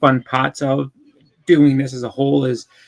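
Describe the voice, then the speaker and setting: A man with a Boston accent speaks at a medium pitch. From Boston, Massachusetts. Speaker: comic collector. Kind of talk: casual interview chat. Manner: halting, many fillers.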